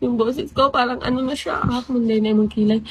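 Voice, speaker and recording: A woman's voice sits high. She talks at a fairly quick pace. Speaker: live streamer. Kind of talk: casual live stream chat. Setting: live stream.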